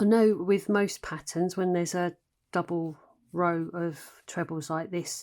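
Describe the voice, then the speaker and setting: Over a silent background in a very clean recording, a woman talks at a very slow pace with ordinary pitch variation. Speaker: crochet designer and tutor. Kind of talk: crochet tutorial instruction.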